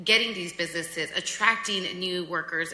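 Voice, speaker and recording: A woman with a medium pitch talks fairly quickly as noticeable background noise continues. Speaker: city council member. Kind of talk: public meeting remarks. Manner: loud; animated.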